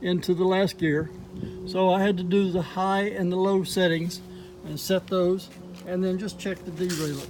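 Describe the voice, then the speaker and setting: Over noticeable background noise, a man talks at a moderate pace in a high voice with monotone, flat intonation. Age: 70s. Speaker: product reviewer. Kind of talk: product review. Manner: casual, with filler words.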